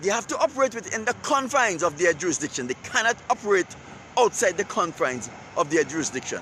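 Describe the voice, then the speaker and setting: Talking very fast in a raised, projected voice, a man with a high pitch swings his pitch very widely. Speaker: online commentator. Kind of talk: live-stream monologue. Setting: outdoors. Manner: repetitive, emphatic.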